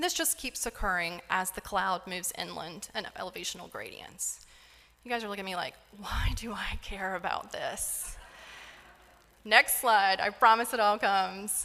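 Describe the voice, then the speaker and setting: A woman at medium pitch with a slight North Carolina accent, a moderate pace and ordinary pitch variation. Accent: slight Southern US (North Carolina). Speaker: isotope scientist. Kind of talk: lecture.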